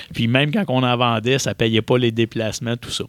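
A man with a plain, everyday voice speaks at medium pitch and a fairly quick pace. The recording is very clean, dry and close, with no echo and a silent background. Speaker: board game publisher. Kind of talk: interview.

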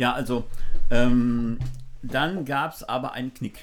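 In a plain, everyday voice, a man talks with ordinary pitch variation. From Germany, Düsseldorf. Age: 60s. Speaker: photographer and former drummer. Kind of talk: casual interview chat. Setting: outdoors by the sea.

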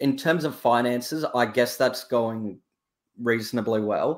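Here a man speaks in an Australian accent. The recording is very clean, with a silent background. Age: 20s. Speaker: caller, entrepreneur. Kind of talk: casual chat.

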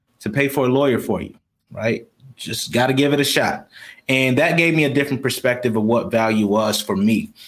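Speaking at a fairly quick pace, a man uses a plain, everyday voice with a fairly high pitch. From Rochester, New York. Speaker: business coach and army veteran. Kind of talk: interview. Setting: live stream.

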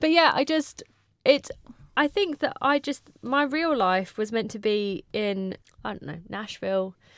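A woman at a high pitch with a British accent, at a fairly slow pace, with very wide pitch swings. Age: 30s. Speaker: podcast co-host. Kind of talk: casual chat. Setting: studio.

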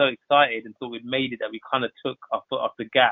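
A man with a medium pitch speaks with a London accent. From West London (Southall), England. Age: 30s. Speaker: photographer. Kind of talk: podcast interview. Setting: podcast recording.

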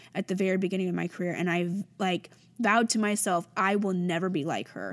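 A woman with an American accent, medium pitch, fairly quick pace and an animated tone, on a very clean recording with a silent background. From Indiana, US Midwest. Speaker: podcast host, makeup artist. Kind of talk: casual monologue.

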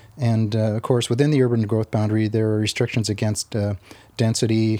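A man at a medium pitch talks at a fairly quick pace with an American accent, his tone dark and mellow. His delivery is monotone and flat, and the sound is dry and close with no echo. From Arizona. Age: 60s. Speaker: retired housing activist. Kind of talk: casual interview chat. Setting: at his home.

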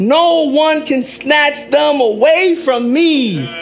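An extremely high-pitched man speaks in an animated tone with lively intonation, amid audible room echo and noticeable background noise. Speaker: pastor. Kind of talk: sermon.

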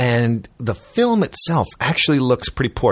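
A man speaks at a moderate pace in a medium pitch, his voice somewhat breathy and swinging very widely in pitch. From Chicago, US Midwest. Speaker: actor and filmmaker. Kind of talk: interview.

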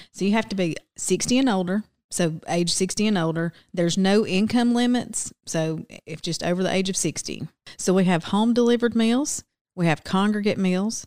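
A woman speaks with a Southern US accent and ordinary pitch variation. The sound is dry and close, with no echo. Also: medium pitch for a woman, moderate pace. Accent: Southern US (Georgia). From US South, Silver Creek near Rome, Georgia. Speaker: agency assistant director. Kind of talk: interview. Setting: studio.

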